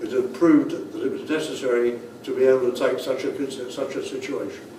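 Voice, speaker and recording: The man's delivery is fairly slow, with noticeable background noise in the recording. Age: 80s+. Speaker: war veteran. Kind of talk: speech recounting wartime memories.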